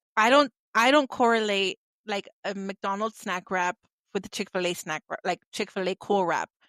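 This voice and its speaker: A woman with an American accent has an ordinary speaking voice, speaking at a moderate pace with ordinary pitch variation in a dry, close sound with no echo. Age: 30s. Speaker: podcast host. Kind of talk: casual chat.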